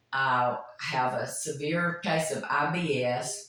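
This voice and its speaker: This woman's voice sits very deep and low, with ordinary pitch variation. Audible room echo and noticeable background noise surround her. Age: 60s. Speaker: nurse. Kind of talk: testimony.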